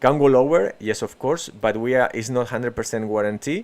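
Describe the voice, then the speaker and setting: Fairly even intonation with a Spanish accent. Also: man. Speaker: crypto trading streamer. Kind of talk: live market analysis stream. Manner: halting, many fillers and restarts.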